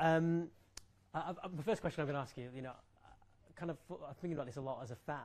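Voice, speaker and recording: Speaking at a very fast pace with an English accent, a man breaks his speech with long, frequent pauses. His pitch is fairly high, with ordinary variation. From England. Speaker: sports journalist. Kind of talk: press conference. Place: hall.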